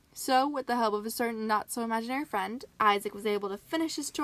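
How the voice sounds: A natural reading voice whose pitch moves in an ordinary way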